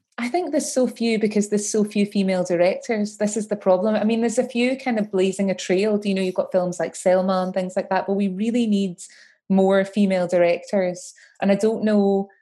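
A woman talks at a fairly quick pace, her medium-pitched voice dark and mellow in tone. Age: 40s. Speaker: film director. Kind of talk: interview.

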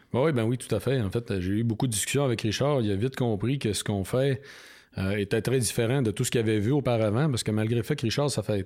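Captured in a very clean recording with a silent background, the speaker talks very fast with a Quebec accent and ordinary pitch variation. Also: man. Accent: Québécois French. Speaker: biologist and author. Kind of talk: interview.

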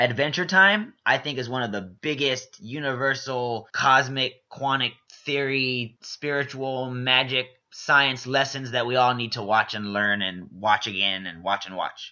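This man has a normal speaking voice with an American accent and a medium pitch. He talks at a fairly slow pace with ordinary pitch variation. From Texas, Houston. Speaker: podcast host, game design student. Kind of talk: solo podcast monologue.

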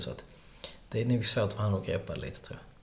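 A man speaks in a fairly low voice with vocal fry. His pitch varies in an ordinary way. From Skåne, Sweden (countryside near Hörby). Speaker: restaurant owner. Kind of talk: interview. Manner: halting.

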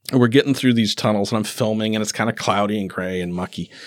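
A man talks very fast in an Upper Midwest accent, his pitch medium. The sound is dry and close with no echo, on a very clean recording with a silent background. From northwestern Wisconsin. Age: 50s. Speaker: documentary filmmaker. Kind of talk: casual chat. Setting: community event.

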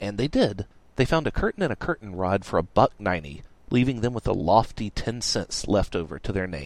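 The speaker does plain reading aloud.

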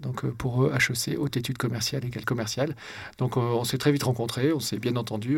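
Somewhat breathy, a man talks at a very fast pace with fairly even intonation. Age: 40s. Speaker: entrepreneur and investor. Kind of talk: interview conversation.

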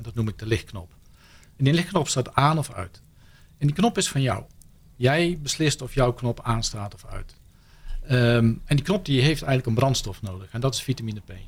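On a very clean recording with a silent background, a somewhat breathy man speaks at medium pitch and a moderate pace with lively intonation. His loudness swings widely, and his pauses are long and frequent. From Netherlands, Brabant. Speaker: happiness speaker. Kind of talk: radio interview. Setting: studio.

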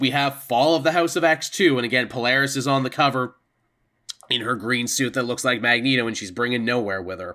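Speaking at a fairly quick pace, a man with a medium-pitched, bright, sharp tone uses ordinary pitch variation. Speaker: comic book podcast host. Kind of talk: casual chat. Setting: remote live stream recording. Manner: talkative, long-winded.

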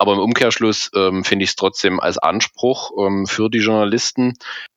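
Fairly even intonation carries this man's speech along at a moderate pace. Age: 30s. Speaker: fan support activist. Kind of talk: interview. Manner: halting, many fillers.

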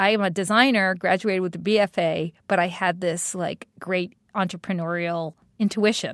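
A woman with a New York accent speaks at a medium pitch. The recording is very clean and dry, close with no echo, over a silent background. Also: moderate pace, hardly any pauses. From New York City, Staten Island. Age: 50s. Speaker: design executive. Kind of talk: interview. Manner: animated.

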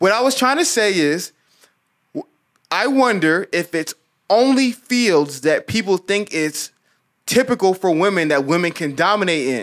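The voice has an energetic tone and lively intonation at a moderate pace, broken by long, frequent pauses. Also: man, high pitch for a man. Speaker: podcast host. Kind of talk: casual chat.

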